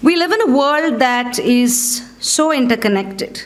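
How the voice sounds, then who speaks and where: A woman with an Indian accent and lively intonation, with audible room echo. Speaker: coaching federation board representative. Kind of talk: keynote speech. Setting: stage with audience. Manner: conversational.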